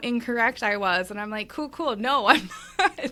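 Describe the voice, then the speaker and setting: A woman with a fairly high pitch and ordinary pitch variation has a bright, sharp tone in a very clean recording with a silent background. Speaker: tennis gear play-tester and content creator. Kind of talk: casual chat. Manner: scattered, all over the place.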